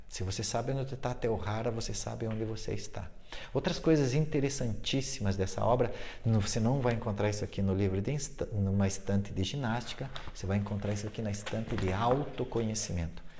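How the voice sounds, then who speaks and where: Noticeable background noise and audible room echo accompany a man speaking at a fairly quick pace, with medium pitch and ordinary pitch variation. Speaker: fitness and yoga teacher. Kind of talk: informal video talk. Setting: sitting on a fitness ball at home. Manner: fast.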